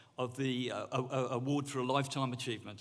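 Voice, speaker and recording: A man at medium pitch talks at a fairly quick pace. Audible room echo surrounds his voice. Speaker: university governor presenting an award. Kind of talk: awards ceremony presentation. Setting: stage with audience. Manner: halting.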